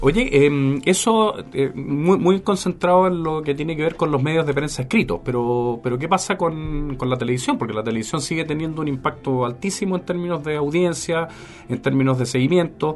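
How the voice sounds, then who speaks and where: A man's fairly high voice at a moderate pace, with ordinary pitch variation, hardly any pauses and noticeable background noise. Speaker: podcast host. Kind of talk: casual interview. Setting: studio.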